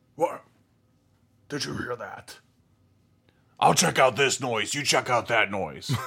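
Putting on a character voice, a man speaks at medium pitch in a raspy tone, at a fairly slow pace with long, frequent pauses. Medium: actual play. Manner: slow, muddled, broken grammar.

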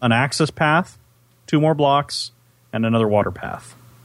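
An unremarkable speaking voice from a man with an American accent, lively intonation and a moderate pace. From US West, California Central Valley. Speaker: gaming podcast co-host. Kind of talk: casual chat with gameplay commentary.

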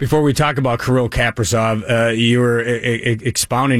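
With fairly even intonation, a man speaks at medium pitch in a plain, everyday voice. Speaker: team radio play-by-play announcer. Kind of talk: casual chat about hockey.

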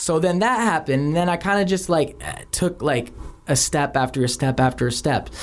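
A man with an American accent uses an ordinary speaking voice, talking fairly quickly at a fairly high pitch, with lively intonation and very even loudness. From Philadelphia. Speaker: music producer and songwriter. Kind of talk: casual chat.

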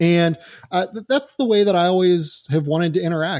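The speaker is a man with an American accent. His tone is dark and mellow, with ordinary pitch variation. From US Northeast (Pittsburgh). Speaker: sports writer. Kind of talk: casual chat.

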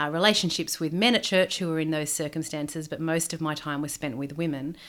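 Here a woman with an Australian accent speaks at a fairly low pitch. The recording is very clean, with a silent background. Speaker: PhD student and former women's minister. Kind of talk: interview.

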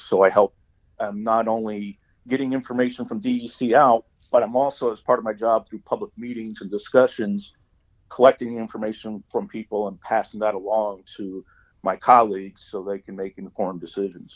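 Speaking at a moderate pace with an American accent, a man with an unremarkable speaking voice keeps a fairly even intonation through big swings in loudness. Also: medium pitch for a man. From Hudson Valley, New York. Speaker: retired government spokesman. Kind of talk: interview. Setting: phone call.

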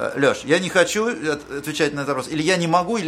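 Over noticeable background noise, a man with a fairly high voice speaks very fast with ordinary pitch variation. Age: 40s. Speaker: podcast host. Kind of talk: interview.

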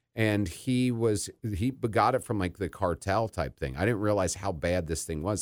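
Here a man with a plain, everyday voice, fairly low in pitch, speaks at a moderate pace with lively intonation, in a dry, close sound with no echo on a very clean recording with a silent background. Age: 30s. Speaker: podcast host, person in addiction recovery. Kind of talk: casual interview chat.

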